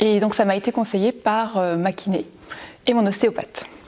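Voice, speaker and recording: This woman's tone is dark and mellow. She speaks at a moderate pace. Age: 40s. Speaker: primary school teacher, gym member. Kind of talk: testimony. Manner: hesitant, many fillers.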